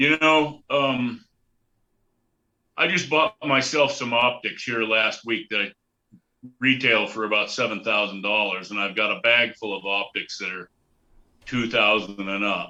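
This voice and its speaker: With an American accent, a man speaks slowly enough to count as fairly slow, at a medium pitch with a bright, sharp tone, ordinary pitch variation and long, frequent pauses. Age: 60s. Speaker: hunting guide and trapper. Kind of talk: interview. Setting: video call. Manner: casual.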